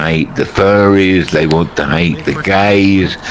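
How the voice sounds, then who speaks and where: A man speaks very slowly in a very deep, low voice with ordinary pitch variation over noticeable background noise. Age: 70s. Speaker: elderly VR chat player. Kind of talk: casual chat.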